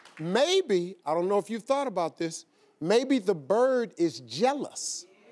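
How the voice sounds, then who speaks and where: Crowd noise fills the background as a man talks at a very slow pace. His high pitch makes very wide swings. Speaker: talk show host. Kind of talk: talk show advice chat. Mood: playful, joking. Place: studio. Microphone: lapel.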